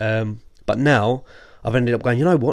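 With an English accent, a man talks at a fairly quick pace and a medium pitch. His pitch varies normally, and the background is quiet. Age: 30s. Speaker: podcast guest, host's friend. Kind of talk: casual chat.

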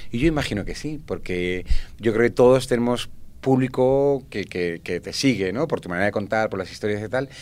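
A man talks in a normal speaking voice at a medium pitch, with ordinary pitch variation and a moderate pace. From Spanish Mediterranean coast. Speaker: storyteller and festival organizer. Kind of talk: casual chat.

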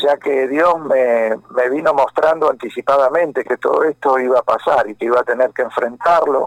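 A man with an unremarkable speaking voice and a fairly high pitch talks at a moderate pace with fairly even intonation. He leaves hardly any pauses, and the sound is dry and close, with no echo. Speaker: pastor and rock musician. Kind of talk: phone interview.

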